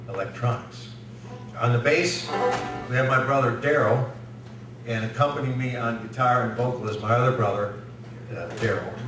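Clear music plays behind a man speaking at a moderate pace with fairly even intonation. His speech has long, frequent pauses and audible room echo. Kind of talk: comedic stage patter. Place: meeting room.

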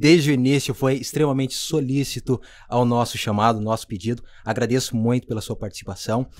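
The speaker is a man with a medium-pitched voice. He moves along at a fairly quick pace. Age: 30s. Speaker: podcast host. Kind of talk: casual interview. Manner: animated.

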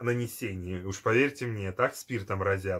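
A somewhat breathy man against a quiet background. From former Soviet Union. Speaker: perfume video blogger; perfume reviewer. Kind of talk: product review. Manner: hesitant, many fillers. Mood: nostalgic, enthusiastic.

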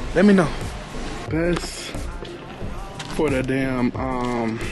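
A man with lively intonation over clear background music. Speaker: lifestyle vlogger. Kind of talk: casual vlog talk to camera. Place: shop. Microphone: phone near.

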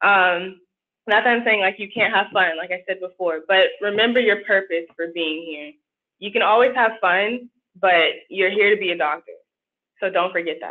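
At a moderate pace and medium pitch, a woman speaks in a plain, everyday voice with ordinary pitch variation. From Austin, Texas. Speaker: medical student. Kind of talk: panel discussion.

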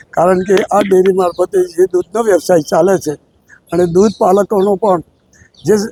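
Pitched high, a man speaks in a monotone, flat delivery with a dark, mellow tone, very even loudness, and a dry, close sound with no echo. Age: old. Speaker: elected dairy cooperative director. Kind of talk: press interview.

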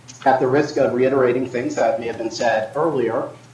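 Audible room echo surrounds the recording. A man talks with ordinary pitch variation. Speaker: sociologist, academic researcher; keynote speaker. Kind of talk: conference presentation. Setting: video call. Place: home room. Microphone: video call.

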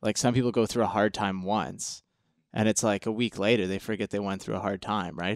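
On a very clean recording with a silent background and a dry, close sound with no echo, a man with an unremarkable speaking voice talks at a fairly quick pace and a fairly low pitch, with fairly even intonation. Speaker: powerlifter. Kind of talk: casual chat.

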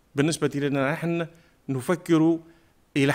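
Against a quiet background, a man speaks at a very slow pace. His voice is fairly high in pitch, and his intonation stays fairly even. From southern Tunisia, Remada; southern Tunisia. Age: 50s. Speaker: parliamentary candidate, teacher; candidate, teacher. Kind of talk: campaign speech. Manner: formal. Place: studio. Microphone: podium.

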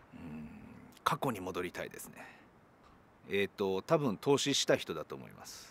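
With a very deep, low pitch and vocal fry, a man speaks at a moderate pace, with very wide pitch swings and big swings in loudness, in a dry sound with no echo. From Japan, Ehime; Japan. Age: 40s. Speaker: rock band guitarist. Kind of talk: interview answers. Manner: hesitant, many fillers. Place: open country.

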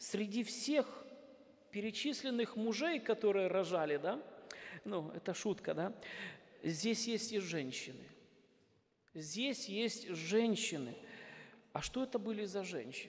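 A high-pitched man speaks very slowly with lively intonation, leaving long, frequent pauses. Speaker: pastor. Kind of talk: sermon. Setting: church.

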